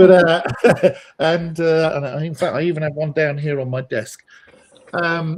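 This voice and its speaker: A man with a British accent speaks at a fairly slow pace with a fairly high pitch, fairly even intonation, and long, frequent pauses. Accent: obvious British. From Britain. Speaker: data analyst. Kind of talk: webinar discussion.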